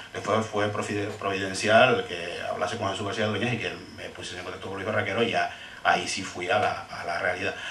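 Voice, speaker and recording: A man with a Canarian accent at a fairly quick pace, amid audible room echo and noticeable background noise. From Canary Islands. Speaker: film researcher and speaker. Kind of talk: panel discussion. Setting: seminar with audience. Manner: halting, with repetitions.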